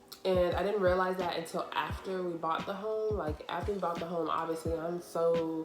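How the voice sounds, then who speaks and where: Over music in the background and audible room echo, a woman speaks at a fairly low pitch in a flat monotone, with hardly any pauses. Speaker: YouTuber. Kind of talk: casual chat. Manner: fast; hesitant.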